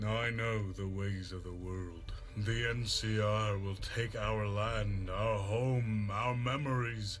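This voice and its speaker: A put-on character voice from a man, fairly low in pitch and fairly slow, with clear music in the background. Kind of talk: solemn, ceremonial. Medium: machinima. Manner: calm, grave.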